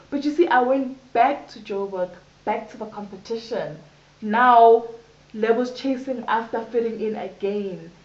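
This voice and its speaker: A woman with a fairly high pitch speaks at a fairly slow pace, her loudness swinging widely amid audible room echo. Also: ordinary pitch variation. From South Africa, Johannesburg. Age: 20s. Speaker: HIV/AIDS activist. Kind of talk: interview testimony. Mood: candid, reflective storytelling. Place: home room. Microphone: camera far.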